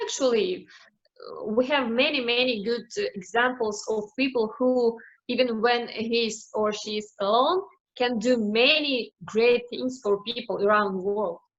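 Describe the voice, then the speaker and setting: A woman's fairly high voice with a non-native accent, a fairly slow pace and ordinary pitch variation. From Ukraine (Kyiv, later Crimea). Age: 40s. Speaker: Rotary club president. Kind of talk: presentation. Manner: halting, many fillers.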